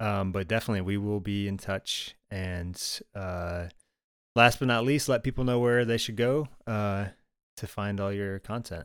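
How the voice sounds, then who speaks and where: A man speaks at a moderate pace in a fairly low voice with ordinary pitch variation. The recording is very clean, with a silent background. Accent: American. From Michigan, US. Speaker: podcast host. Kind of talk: casual interview.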